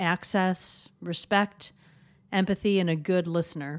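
On a very clean recording with a silent background, a woman speaks at medium pitch. She uses a normal speaking voice. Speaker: podcast host and physician. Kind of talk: interview and scripted narration.

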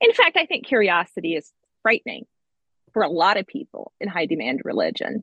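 A woman with an American accent and a medium-pitched voice speaks at a fairly quick pace, using very wide pitch swings and vocal fry. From US, rural central Pennsylvania. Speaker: podcast co-host. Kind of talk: casual chat.

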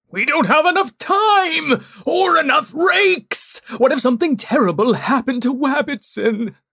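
A put-on character voice is pitched high. It moves at a moderate pace. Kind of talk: children's story audio drama. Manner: worried, frantic, precise.

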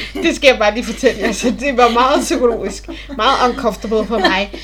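A woman talks in a high voice at a moderate pace, her pitch varying in an ordinary way. Noticeable background noise sits behind her. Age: 20s. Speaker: podcast co-host, student. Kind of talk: casual chat. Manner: hesitant, many fillers.

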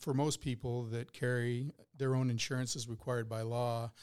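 At a moderate pace, a man speaks in a medium pitch with flat, monotone intonation. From South Dakota. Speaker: chief financial officer, former paramedic. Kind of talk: explanatory discussion.

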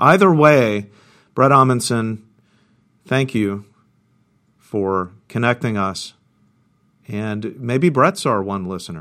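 A man with an American accent speaks very slowly at a medium pitch, leaving long, frequent pauses, his tone bright and sharp and his intonation lively. The recording is very clean, with a silent background. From Central Texas. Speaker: university choral conductor and podcast co-host. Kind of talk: casual chat.

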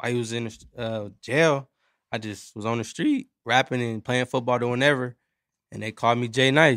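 In a normal speaking voice, a man talks at a medium pitch and moderate pace with fairly even intonation, in a dry, close sound with no echo on a very clean recording with a silent background. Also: big swings in loudness. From Los Angeles County, California. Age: 20s. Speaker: rapper and singer. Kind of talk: casual chat. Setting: studio.

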